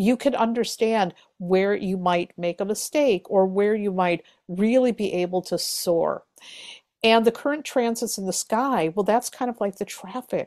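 A woman speaks at a medium pitch and a fairly slow pace with ordinary pitch variation in an ordinary speaking voice, the sound dry and close with no echo on a very clean recording against a silent background. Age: 50s. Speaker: tarot reader and astrologer. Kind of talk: casual interview.

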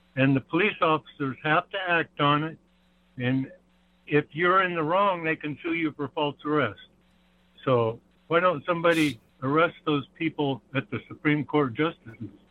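Here a man speaks in an ordinary speaking voice at a fairly high pitch. His pitch variation is ordinary and his pace moderate. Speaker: caller. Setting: phone call.

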